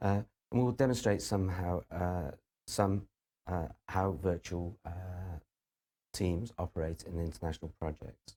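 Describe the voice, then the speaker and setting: Speaking at a moderate pace with a British accent, a man with a very deep, low pitch and a dark, mellow tone shows ordinary pitch variation and takes long, frequent pauses, on a very clean recording with a silent background. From UK. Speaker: university lecturer. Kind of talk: lecture. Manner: halting, many fillers.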